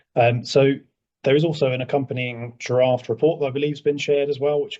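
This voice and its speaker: A man with a British accent talks very fast, his intonation fairly even. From England. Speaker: emergency services consultant. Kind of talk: presentation to council.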